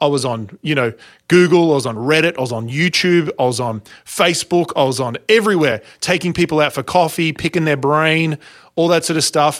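A man with an Australian accent at a fairly quick pace, in a very clean recording with a silent background. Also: fairly high pitch for a man, ordinary pitch variation. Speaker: speaking and sales coach. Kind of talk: interview.

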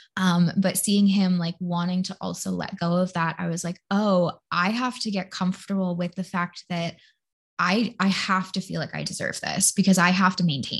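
Against a quiet background, a woman speaks at a moderate pace with monotone, flat intonation. Her medium-pitched voice is somewhat breathy. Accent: American. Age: 20s. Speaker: podcast host and human design coach. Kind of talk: casual chat.

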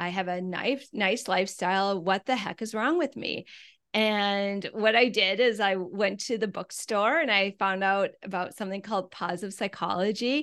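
A woman with an American accent has an unremarkable speaking voice at a medium pitch. She speaks at a moderate pace with ordinary pitch variation against a quiet background. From US Midwest (Wisconsin). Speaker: wellbeing coach and podcast host. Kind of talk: interview.

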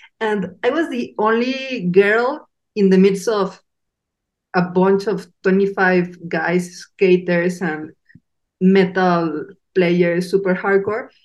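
Speaking very slowly, a woman with a medium pitch talks in a Mexican accent. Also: ordinary pitch variation. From Mexico. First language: Spanish. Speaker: podcast host. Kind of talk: casual interview chat.

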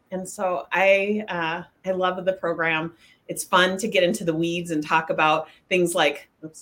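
A woman speaks with an American accent at a fairly slow pace. Her voice is fairly low and monotone, with flat intonation. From Washington State (Spokane). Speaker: life coach. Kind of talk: casual chat.

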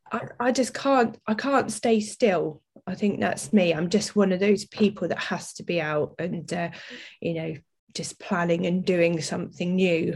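A woman speaks at a fairly slow pace in a somewhat breathy voice. Her pitch is medium, with ordinary pitch variation. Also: very clean recording, silent background. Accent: English. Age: 40s. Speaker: business owner and athlete. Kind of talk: interview.

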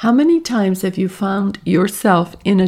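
The pitch varies in an ordinary way as this unforced reading voice goes on.

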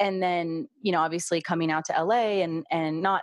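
A woman's fairly low-pitched voice, an ordinary speaking voice. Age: 30s. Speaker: podcast host and birth worker. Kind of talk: interview, casual chat.

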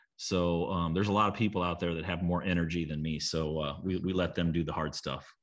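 With a US Midwestern accent, the speaker goes at a very fast pace using fairly even intonation. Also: man, very deep, low pitch for a man. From small-town Illinois, US Midwest. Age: 40s. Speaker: real estate investor. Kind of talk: interview. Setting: video call from lake house. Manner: halting, many fillers and repeats.

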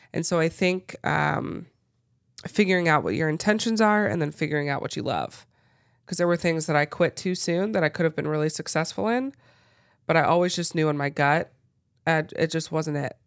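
On a very clean recording with a silent background, a woman talks at a fairly quick pace and a fairly low pitch, with ordinary pitch variation. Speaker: podcast host, online business coach. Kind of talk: casual chat. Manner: fast.

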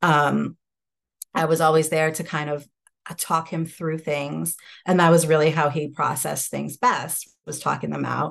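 A woman with an American accent speaks in a very deep, low pitch with vocal fry and monotone, flat intonation. Her pace is moderate and the background is quiet. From upstate New York, Hudson Valley. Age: 30s. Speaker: law student, widow. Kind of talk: personal testimony in interview.

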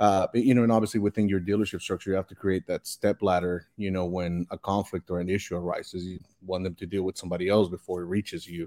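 A man with a very deep, low pitch and a dark, mellow tone, in a Spanish accent, very fast with hardly any pauses and monotone, flat intonation, in a dry, close sound with no echo on a very clean recording with a silent background. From Mexico, Monterrey. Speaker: car dealer. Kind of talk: interview. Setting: live video stream.

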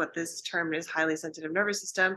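A woman with a western Canadian accent speaks in a fairly low pitch, her tone bright and sharp and her intonation fairly even. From Vancouver, Canada. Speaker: naturopathic doctor. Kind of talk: casual interview chat.

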